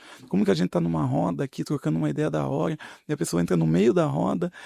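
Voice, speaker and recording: A soft-spoken man is heard in a very clean recording with a silent background and a dry, close sound with no echo. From Paraná, Brazil. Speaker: politician. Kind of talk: podcast interview.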